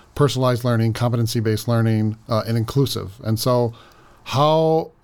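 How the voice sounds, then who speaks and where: A man at medium pitch with a normal speaking voice, ordinary pitch variation and a fairly quick pace. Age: 40s. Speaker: school district administrator. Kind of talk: interview.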